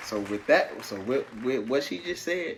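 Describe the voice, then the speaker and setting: A man with a strong Southern US accent speaks at a medium pitch and a moderate pace with lively intonation. Noticeable background noise sits behind him. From South Carolina. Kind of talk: casual couples talk to camera.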